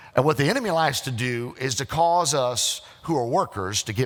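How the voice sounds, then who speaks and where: An unremarkable speaking voice of a man with an American accent, medium in pitch, with ordinary pitch variation. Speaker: pastor. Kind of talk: sermon preaching to a congregation.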